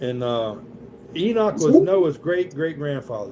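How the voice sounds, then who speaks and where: A man with a Southern US accent, fairly high-pitched, at a moderate pace. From US South. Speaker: Bible study leader. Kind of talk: Bible study. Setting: livestream with participants. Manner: casual, conversational.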